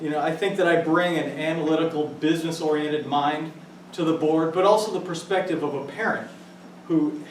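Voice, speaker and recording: With a Midwestern American accent, a man speaks at a moderate pace in a fairly high pitch, with audible room echo and noticeable background noise. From US Midwest, central Illinois. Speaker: school board candidate. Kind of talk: campaign speech. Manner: loud.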